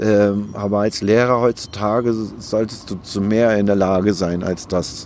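At a fairly slow pace with hardly any pauses, a man talks in a fairly low pitch and a flat, monotone intonation. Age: 40s. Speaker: former criminal turned YouTuber and author. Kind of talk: interview. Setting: outdoors in a park.

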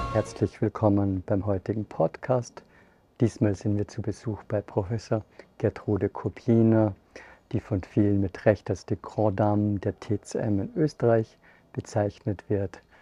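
This man's fairly low, somewhat breathy voice has a dark, mellow tone and fairly even intonation, recorded dry and close with no echo. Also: quiet background. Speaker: podcast host. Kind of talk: casual chat; scripted narration.

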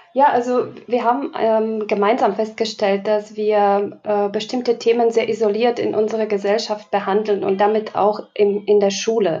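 Against noticeable background noise, a woman speaks at a moderate pace in a fairly high pitch, with monotone, flat intonation, very even loudness and hardly any pauses. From Slovakia. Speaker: diversity educator. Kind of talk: podcast interview.

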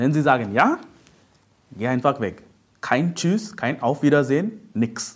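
Here a man speaks at a fairly high pitch with very wide pitch swings. His pace is very slow, with long, frequent pauses. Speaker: preacher. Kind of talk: sermon. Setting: church. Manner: emphatic preaching, repeated "Ja?" tags, teaching tone; direct, urgent, addresses listeners as "du".

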